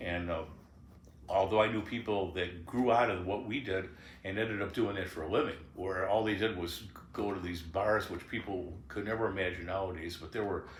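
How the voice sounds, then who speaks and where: In a room with audible echo, a somewhat breathy man speaks at a fairly low pitch, moderate pace and fairly even intonation. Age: 70s. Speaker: blues guitarist and singer. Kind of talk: memoir interview, casual reminiscing. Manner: halting.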